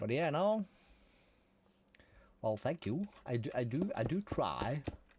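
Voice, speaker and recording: The speaker has a Norwegian accent. The delivery is fairly slow, with lively intonation. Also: man. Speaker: gaming streamer. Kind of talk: casual live-stream commentary. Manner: relaxed.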